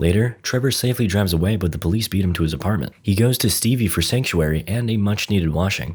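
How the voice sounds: The voice is a natural reading voice.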